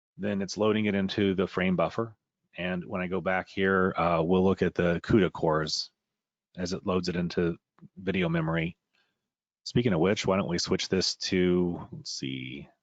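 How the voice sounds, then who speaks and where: At a moderate pace, a man with a very deep, low pitch talks in fairly even intonation over a quiet background. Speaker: software trainer. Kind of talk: webinar tutorial. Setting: webinar.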